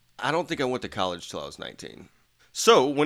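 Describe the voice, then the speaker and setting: Recorded very cleanly against a silent background, a man speaks in a bright, sharp tone. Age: 30s. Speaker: podcast host. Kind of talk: casual chat.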